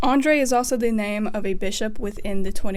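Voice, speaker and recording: Over noticeable background noise, a woman with an Appalachian accent talks fairly quickly at a medium pitch. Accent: Appalachian American. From Appalachia, US. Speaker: music theory YouTuber. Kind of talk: casual video essay.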